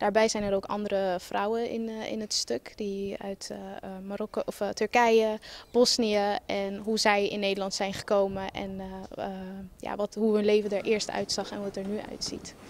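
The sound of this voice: A woman talks at medium pitch and a moderate pace. Her tone is slightly mellow, with little pitch movement.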